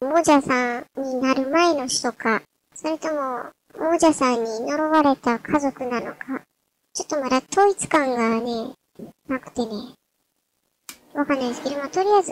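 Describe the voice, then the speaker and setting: Recorded dry and close with no echo, a woman speaks at a high pitch and moderate pace with ordinary pitch variation, big swings in loudness, and long, frequent pauses. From Kansai. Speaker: gamer. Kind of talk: game commentary. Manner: casual.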